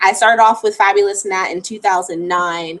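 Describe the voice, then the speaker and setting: Here a woman uses a normal speaking voice at medium pitch. Her pace is moderate and her intonation fairly even. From Florida. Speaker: travel vlogger. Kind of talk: live stream Q&A. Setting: live stream at home. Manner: casual, chatty.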